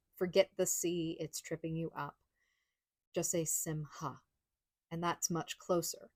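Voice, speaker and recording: Somewhat breathy speech comes at a fairly slow pace in an American accent, with monotone, flat intonation. The sound is dry and close, with no echo. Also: woman, very clean recording, silent background. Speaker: Judaism conversion YouTuber. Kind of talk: casual pronunciation tutorial to camera.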